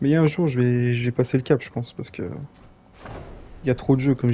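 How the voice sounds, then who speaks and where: With music running behind him, a man talks at a medium pitch. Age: 20s. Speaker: gaming streamer. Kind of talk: live gameplay stream chat. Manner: casual, hesitant with fillers.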